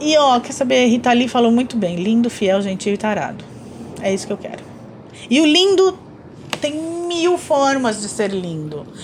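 Over noticeable background noise, a woman with a high pitch moves at a moderate pace through very wide pitch swings and long, frequent pauses. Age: 40s. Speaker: podcast co-host and artist. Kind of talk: casual chat.

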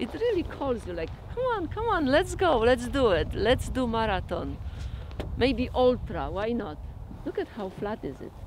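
A woman talks with a Polish accent. Noticeable background noise is audible. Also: moderate pace. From Poland. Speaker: ultramarathon runner. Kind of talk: documentary interview. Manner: halting.

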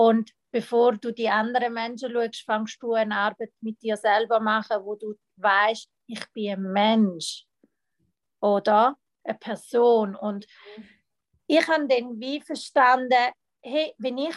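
Speaking very slowly at a fairly high pitch, a woman is heard in a dry, close sound with no echo. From Switzerland, Thurgau (Lake Constance). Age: 30s. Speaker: mental coach. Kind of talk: personal testimony in interview. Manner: halting, many fillers.

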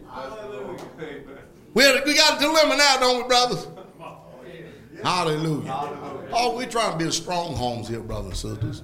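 With an American accent, a man speaks at a high pitch and a moderate pace, his tone animated, his pitch swinging very widely and his loudness swinging a lot, over noticeable background noise. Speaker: preacher. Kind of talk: sermon. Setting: church with congregation. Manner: animated, emphatic, call-and-response with the congregation; blunt, scolding yet joking.

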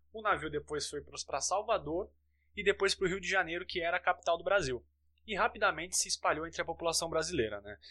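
The voice is bright and sharp in tone and very fast, with ordinary pitch variation over a quiet background. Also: man, high pitch for a man. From Santos, São Paulo state, Brazil. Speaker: sports podcast host. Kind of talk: casual chat. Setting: recording from home.

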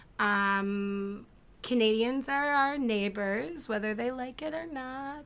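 In an American accent, a woman speaks at a high pitch and a very slow pace. Her pitch varies in an ordinary way, with audible room echo. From United States. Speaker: podcast guest. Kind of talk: casual chat.

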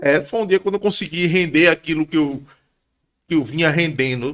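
This man talks very fast, with a fairly high pitch and ordinary pitch variation. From Pernambuco, Brazil. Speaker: MMA fighter. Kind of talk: casual chat.

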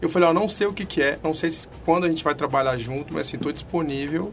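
Over music in the background, a man speaks at a very fast pace in a fairly high voice with ordinary pitch variation. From Belo Horizonte, Brazil. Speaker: carnival block musician. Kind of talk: casual chat. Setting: studio.

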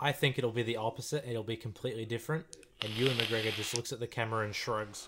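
Speaking very fast with an Australian accent, a man keeps fairly even intonation at medium pitch in a bright, sharp tone. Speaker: podcast co-host. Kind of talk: casual banter, movie commentary. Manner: irreverent, joking, swearing.

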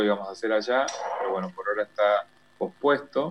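Fairly low-pitched man at a fairly quick pace amid noticeable background noise. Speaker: visual artist. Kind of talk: interview.

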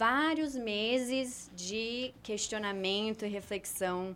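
This woman has a normal speaking voice, pitched fairly high, with lively intonation. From Brazil, moved around; long stay in Argentina. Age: 20s. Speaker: theologian. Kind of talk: explanatory discussion.

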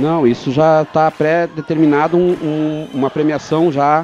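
With crowd noise behind him, a man talks at a fairly high pitch. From Porto Alegre, southern Brazil. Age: 40s. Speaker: amateur football league organizer. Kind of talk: radio interview.

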